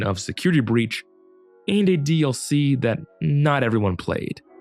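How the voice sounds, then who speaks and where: Music plays behind a man talking. His pitch swings very widely. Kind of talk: scripted video essay commentary.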